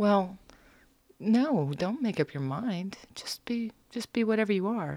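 At a fairly slow pace, a woman with an American accent talks with lively intonation in a plain, everyday voice, on a very clean recording with a silent background. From US, military bases, partly US South. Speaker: visual artist. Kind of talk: casual interview. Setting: studio.

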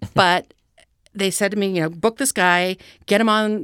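Woman with an American accent, a plain, everyday voice, fairly slow, ordinary pitch variation, on a very clean recording with a silent background. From Washington DC and Chicago. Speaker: film commissioner. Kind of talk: casual chat. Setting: studio.

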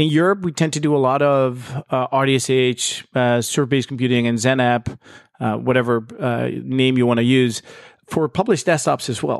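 A man talks with a Dutch accent at medium pitch and ordinary pitch variation. He keeps a moderate pace over a quiet background. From Netherlands. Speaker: tech industry expert. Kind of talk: casual interview. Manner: halting, many fillers.

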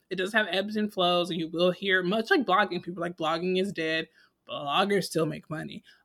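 A woman with a normal speaking voice keeps a moderate speed and fairly even intonation. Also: medium pitch for a woman. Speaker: podcast co-host. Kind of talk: casual chat.

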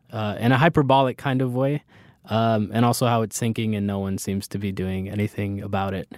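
A man with a medium-pitched voice talks fairly quickly, the sound dry and close with no echo and the recording very clean over a silent background. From New York, the Bronx. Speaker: poet. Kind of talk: casual chat.

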